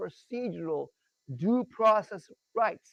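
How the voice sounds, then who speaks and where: With an animated tone and lively intonation, a man speaks in a dry, close sound with no echo. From Iran. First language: Persian. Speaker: tax rights educator. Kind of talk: presentation with screen share.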